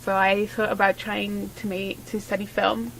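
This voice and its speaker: Under a woman's moderate-paced speech there is noticeable background noise. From southern Spain. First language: Spanish. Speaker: filmmaker and photographer. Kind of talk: interview.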